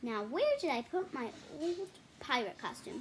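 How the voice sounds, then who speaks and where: A woman performs a put-on character voice at a high pitch. Her pace is moderate. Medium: read story. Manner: cheerful, a bit jumpy.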